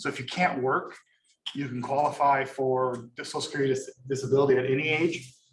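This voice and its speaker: An American-accented man with a fairly high pitch talks at a very fast pace, and audible room echo surrounds his voice. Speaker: economics lecturer. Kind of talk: lecture. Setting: classroom with Zoom attendees.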